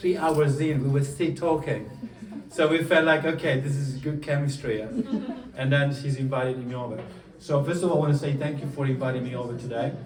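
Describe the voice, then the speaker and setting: In a room with audible echo and noticeable background noise, a man talks at a fairly quick pace with fairly high pitch and fairly even intonation. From southern Italy, Puglia. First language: Italian. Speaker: coach. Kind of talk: motivational talk. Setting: stage with audience.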